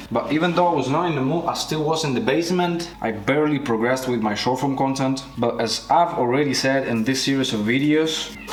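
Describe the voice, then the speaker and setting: A man's fairly high voice with a non-native accent, fairly quick with hardly any pauses, very even in loudness, ordinary in pitch variation, set in audible room echo amid noticeable background noise. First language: not English. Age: 20s. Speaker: vlogger, freelance filmmaker. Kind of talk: daily vlog monologue. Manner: casual.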